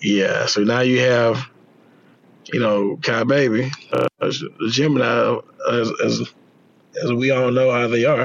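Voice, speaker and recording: There is noticeable background noise as a man speaks at a fairly slow pace with very even loudness and long, frequent pauses. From Mississippi, Jackson. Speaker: railroad worker and father. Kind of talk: casual chat.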